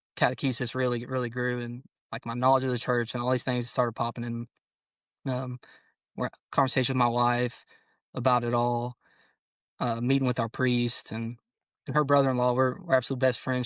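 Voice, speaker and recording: Speaking with a Kentucky accent, a man holds a medium pitch in a monotone, flat intonation and leaves long, frequent pauses, the sound dry and close with no echo over a quiet background. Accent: Kentucky Southern American. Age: 20s. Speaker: police officer. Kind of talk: casual interview.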